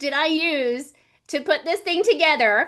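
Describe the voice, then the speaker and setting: An animated woman's raised, projected voice, bright and sharp in tone, with an American accent. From US South (Georgia and Florida). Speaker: livestream host and laser business creator. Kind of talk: livestream chat. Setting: livestream video call.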